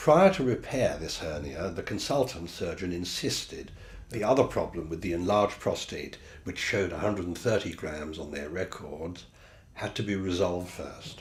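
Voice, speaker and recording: Somewhat breathy and very deep in pitch, a man talks at a moderate pace with ordinary pitch variation in a room with audible echo. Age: 70s. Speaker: patient.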